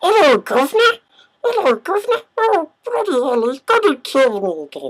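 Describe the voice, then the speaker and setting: Someone puts on a character voice at an extremely high pitch, with very wide pitch swings at a moderate pace. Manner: frantic, fearful.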